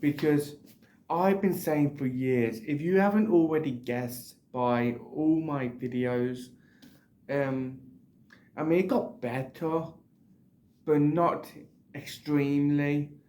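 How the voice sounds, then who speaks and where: A man's dark, mellow tone at a very slow pace, with long, frequent pauses, ordinary pitch variation and audible room echo. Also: fairly high pitch for a man. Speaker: book reviewer, YouTuber. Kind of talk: casual book review vlog. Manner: hesitant, many fillers.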